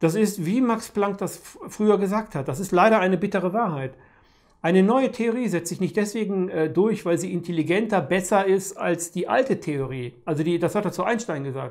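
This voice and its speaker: A man's high-pitched voice at a moderate pace, over a quiet background. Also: ordinary pitch variation. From Germany. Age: 50s. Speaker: peace activist; interviewee, commentator. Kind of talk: monologue to camera; interview answer. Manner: halting, with frequent repetitions. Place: home room.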